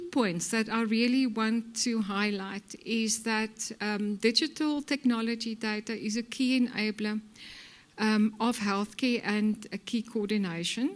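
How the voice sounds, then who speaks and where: In a quiet background, a woman talks at a fairly slow pace with a fairly high pitch, ordinary pitch variation and an ordinary speaking voice. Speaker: healthcare executive. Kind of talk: conference presentation.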